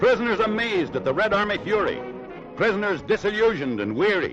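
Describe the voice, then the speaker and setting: In an American accent, a man speaks dramatically at a fairly quick pace and high pitch, with music playing in the background. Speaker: newsreel commentator. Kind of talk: newsreel narration. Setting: 1940s archival recording. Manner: dramatic, rousing.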